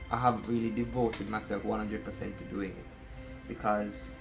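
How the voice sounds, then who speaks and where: At a moderate pace, a man with an American accent speaks while music plays in the background. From outside the US. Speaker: aspiring affiliate marketer. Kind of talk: casual talk to camera.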